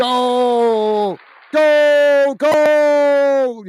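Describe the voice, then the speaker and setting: The voice is a put-on character voice. Its pitch sits high. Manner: excited, shouting.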